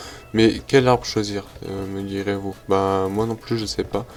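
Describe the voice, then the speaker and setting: The man's intonation stays monotone and flat. His pace is fairly slow. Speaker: gaming youtuber. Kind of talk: let's play commentary. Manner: stumbling, hesitant.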